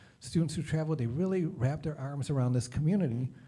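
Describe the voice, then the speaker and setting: Lively intonation marks this man's speech. His tone is dark and mellow, somewhat breathy. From Detroit, US Midwest. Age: 50s. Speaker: nonprofit leader. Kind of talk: presentation.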